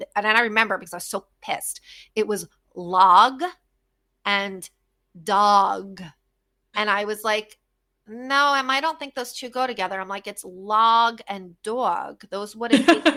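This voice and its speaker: A woman with a fairly high pitch and a bright, sharp tone speaks at a fairly slow pace with long, frequent pauses, big swings in loudness and ordinary pitch variation, on a very clean recording with a silent background. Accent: American. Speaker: podcast host. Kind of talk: casual chat. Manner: animated.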